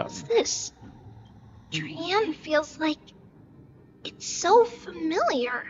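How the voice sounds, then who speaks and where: A high-pitched put-on character voice at a very slow pace, broken by long, frequent pauses. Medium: video game. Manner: alert, urgent.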